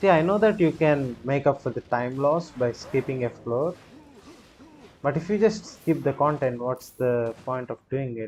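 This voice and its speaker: A man speaks with an Indian accent, his fairly high pitch carried by lively intonation. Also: moderate pace. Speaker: gaming streamer. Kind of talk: live gameplay commentary. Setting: live stream. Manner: animated.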